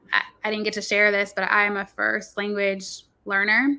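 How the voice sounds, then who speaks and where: Bright and sharp in tone, a woman with a Spanish accent speaks at a fairly slow pace and a medium pitch. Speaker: children's book author and nurse. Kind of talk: live talk show interview.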